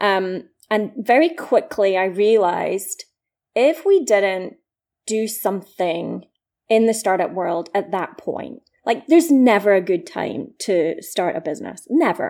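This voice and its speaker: A woman with a Scottish accent speaks fairly slowly at a medium pitch, her tone dark and mellow and her intonation lively. The recording is very clean, with a silent background. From east coast of Scotland. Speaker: startup founder. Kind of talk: interview.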